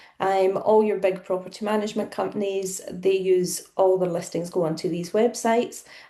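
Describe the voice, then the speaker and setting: Speaking at a fairly quick pace with hardly any pauses, a woman with a Scottish accent has a medium pitch, a dark, mellow tone, and fairly even intonation. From central Scotland. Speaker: property relocation manager. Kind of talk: podcast interview.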